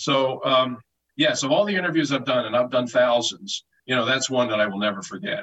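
Here is a man with an American accent and an unremarkable speaking voice. His pitch is medium with ordinary variation, and his pace is fairly quick. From Philadelphia. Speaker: sports journalist. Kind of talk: interview.

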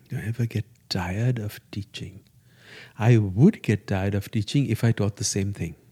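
A man's fairly low, dark, mellow voice with a Gujarati accent, fairly even intonation and a moderate pace, in a dry, close, echo-free and very clean recording with a silent background. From India (Parsi community). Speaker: yoga teacher. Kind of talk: interview conversation.

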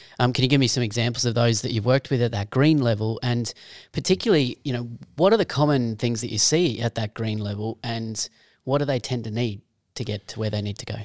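Talking very fast with an Australian accent, a man at medium pitch shows ordinary pitch variation, and the recording is very clean, dry and close, with a silent background and no echo. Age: 40s. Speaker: podcast host. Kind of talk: interview.

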